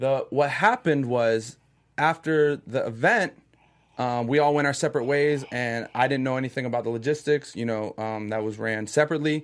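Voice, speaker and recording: A plain, everyday voice from a man with an American accent, medium in pitch, with ordinary pitch variation at a moderate pace, on a very clean recording with a silent background. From Orlando, Florida. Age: 20s. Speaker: reality TV contestant. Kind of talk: casual chat.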